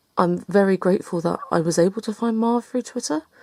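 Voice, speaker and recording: The speaker is a woman with an English accent. She talks fairly quickly. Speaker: book vlogger. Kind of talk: casual chat. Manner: fast.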